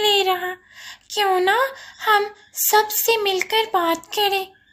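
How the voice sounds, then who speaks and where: In a cartoonish character voice, a woman speaks very slowly at an extremely high, squeaky pitch. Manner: warm, chatty.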